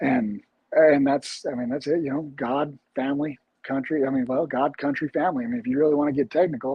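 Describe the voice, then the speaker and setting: A man's fairly high voice at a fairly quick pace with fairly even intonation. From Utah. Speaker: bare knuckle fighter. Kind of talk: interview. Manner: halting.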